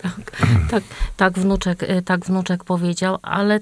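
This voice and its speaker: Woman at a fairly slow pace. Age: old. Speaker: grandmother, association member. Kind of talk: casual radio chat. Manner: halting.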